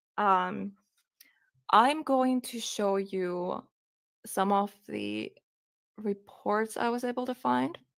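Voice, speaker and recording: Pausing long and often, a woman speaks at a very slow pace and a medium pitch with lively intonation. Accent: Finnish. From Finland. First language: Finnish. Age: 20s. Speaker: true crime streamer. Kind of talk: live stream commentary, reading a police report aloud. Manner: halting.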